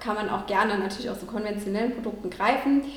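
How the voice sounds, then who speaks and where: Her voice sits fairly high for a woman, with ordinary pitch variation, audible room echo and noticeable background noise. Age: 30s. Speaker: vegan nutrition consultant. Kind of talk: interview.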